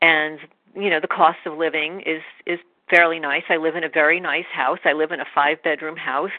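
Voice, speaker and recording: A woman with an American accent speaks at a very deep, low pitch. Her pace is fairly quick and her intonation monotone and flat. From New York. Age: 50s. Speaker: animal rescuer. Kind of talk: testimony.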